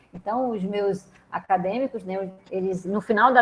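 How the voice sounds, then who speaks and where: Her intonation is fairly even. The woman's pitch sits in the middle range. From Brazil. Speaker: professor. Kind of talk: online lecture. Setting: video call. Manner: conversational, hesitant.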